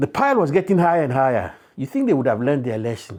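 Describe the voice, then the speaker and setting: Here a man speaks at a medium pitch with a somewhat breathy quality. His pitch swings very widely. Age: 60s. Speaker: storyteller. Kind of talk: oral folk tale storytelling. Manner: warm, animated, addressing listeners directly.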